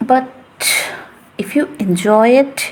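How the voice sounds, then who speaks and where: A woman with a non-native accent speaks at a very slow pace against noticeable background noise. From Asia. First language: not English. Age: 20s. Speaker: English teacher. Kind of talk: casual monologue. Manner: chatty, rambling.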